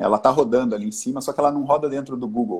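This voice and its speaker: A man speaks with fairly even intonation. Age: 40s. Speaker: business owner, art supplies importer. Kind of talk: casual live-stream interview. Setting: online live stream.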